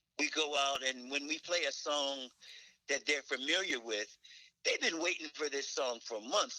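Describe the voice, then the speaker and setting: In a dry, close sound with no echo, a man speaks at a moderate pace. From North Carolina. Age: 60s. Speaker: keyboardist. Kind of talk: interview.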